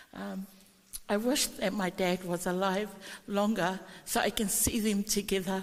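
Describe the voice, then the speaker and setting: This woman talks at a fairly slow pace with long, frequent pauses. Her pitch sits in the medium range and her intonation stays fairly even. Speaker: family member giving eulogy. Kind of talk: funeral tribute. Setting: church.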